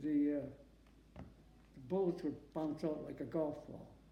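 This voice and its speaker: Audible room echo surrounds a man whose fairly high voice has a dark, mellow tone and fairly even intonation. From Massachusetts. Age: 90s. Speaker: war veteran. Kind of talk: oral history interview. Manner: halting.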